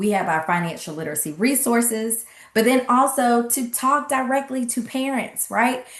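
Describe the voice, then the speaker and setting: In a Southern US accent, a woman talks at a moderate pace with a high pitch and lively intonation. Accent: Southern twang. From US South, Atlanta, Georgia. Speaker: financial literacy coach and speaker. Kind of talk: online workshop presentation. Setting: livestream webinar with chat.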